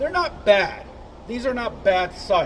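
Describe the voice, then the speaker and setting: A man speaks loudly at a fairly slow pace. Noticeable background noise sits behind him. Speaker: firearms reviewer and instructor. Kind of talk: product review. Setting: outdoor shooting range.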